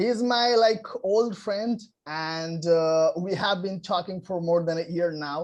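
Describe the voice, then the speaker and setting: At a very slow pace, a man with a non-native accent speaks at a high pitch with ordinary pitch variation. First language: non-native English speaker. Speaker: English learner and channel host. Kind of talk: interviewer in conversation.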